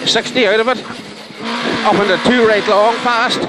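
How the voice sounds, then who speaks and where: Words come out at a fairly slow pace while noticeable background noise persists. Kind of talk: pace-note calls. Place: car. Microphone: headset.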